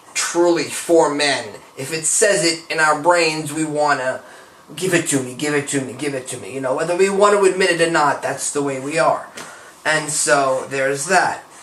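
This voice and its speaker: Over noticeable background noise and audible room echo, a man talks at a moderate pace with a fairly high pitch and ordinary pitch variation. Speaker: vlogger. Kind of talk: personal vlog.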